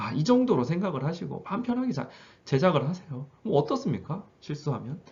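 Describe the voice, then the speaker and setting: This man talks at a fairly quick pace in a fairly high voice, his pitch swinging very widely over vocal fry. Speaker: high school teacher. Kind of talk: tutorial. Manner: fast.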